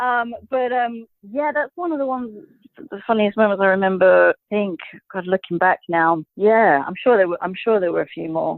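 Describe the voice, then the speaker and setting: With a British accent, a woman talks at a medium pitch. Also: lively intonation, moderate pace. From Britain. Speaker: actress. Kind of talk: casual interview. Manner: hesitant, lots of fillers.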